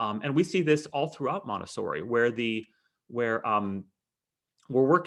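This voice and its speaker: A man's medium-pitched voice with lively intonation against a quiet background. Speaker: math educator. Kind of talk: webinar lecture. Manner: fast; animated.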